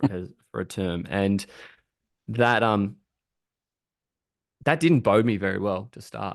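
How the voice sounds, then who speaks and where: The speaker has an Australian accent and ordinary pitch variation. Long, frequent pauses break up the speech against a quiet background. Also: man, fairly slow pace, big swings in loudness. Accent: Australian, relaxed, somewhat broad. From rural Australia. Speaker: thought leader on customer and employee experience. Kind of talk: podcast interview. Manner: hesitant, many repeated words.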